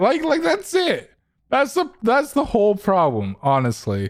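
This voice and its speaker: A man talks very slowly, and the recording is very clean with a silent background. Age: 20s. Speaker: podcast host. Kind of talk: casual chat.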